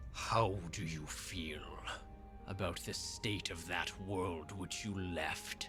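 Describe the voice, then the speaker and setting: A put-on character voice creeps along at a very slow pace over loud music in the background. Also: man, very deep, low pitch for a man. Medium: actual play. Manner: slow, solemn.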